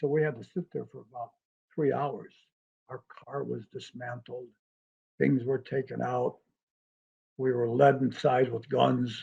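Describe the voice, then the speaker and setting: A somewhat breathy man at medium pitch speaks fairly slowly with fairly even intonation, big swings in loudness, and long, frequent pauses. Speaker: hypnotist. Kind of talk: interview answer.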